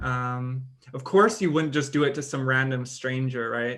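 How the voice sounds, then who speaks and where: The intonation stays fairly even. It is an unremarkable speaking voice. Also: man. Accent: American. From Singapore. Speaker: podcast co-host. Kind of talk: casual chat.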